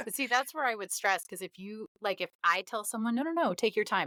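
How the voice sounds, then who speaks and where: In a very clean recording with a silent background, a woman with a fairly high pitch and a bright, sharp tone talks at a very fast pace with lively intonation. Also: dry, close sound with no echo. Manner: sarcastic.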